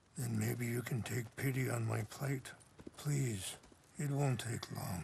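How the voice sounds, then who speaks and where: A man puts on a raspy character voice at medium pitch, speaking at a fairly slow pace. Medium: video game. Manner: soft-spoken, calm.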